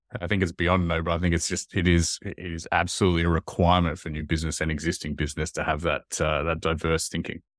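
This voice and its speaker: A man with an Australian accent talks in a very deep, low voice, very fast and with hardly any pauses, in a flat monotone. The recording is very clean with a silent background and a dry, close sound with no echo. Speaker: podcast co-host. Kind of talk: casual interview.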